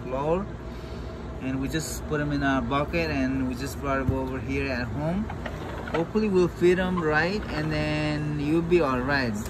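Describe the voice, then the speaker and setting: A man talks at a moderate pace. Noticeable background noise sits behind him. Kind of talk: casual vlog commentary. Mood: worried, concerned. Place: garden. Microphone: phone near.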